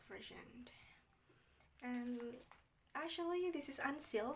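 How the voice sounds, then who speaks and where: A woman with a high pitch and fairly even intonation, at a very slow pace, with audible room echo. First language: not English. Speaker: YouTuber. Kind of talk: unboxing video. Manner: halting.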